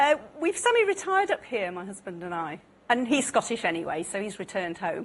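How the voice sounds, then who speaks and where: A woman with an English accent talks at a fairly quick pace. Her loudness swings widely. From England. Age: 50s. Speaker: quiz contestant, theatre nurse. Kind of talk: quiz show chat.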